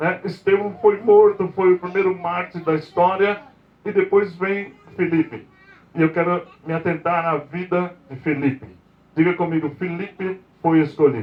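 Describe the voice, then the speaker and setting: The man's voice is high in pitch. He talks fairly slowly. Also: ordinary pitch variation. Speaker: apostle, preacher. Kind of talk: sermon. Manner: soft-spoken.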